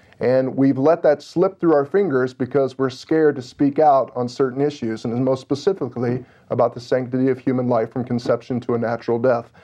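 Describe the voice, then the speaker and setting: A man with an American accent speaks in a plain, everyday voice at medium pitch, moving at a fairly quick pace with hardly any pauses and fairly even intonation against a quiet background. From Illinois, US Midwest. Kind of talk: exhortation on talk radio. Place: studio. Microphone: lapel.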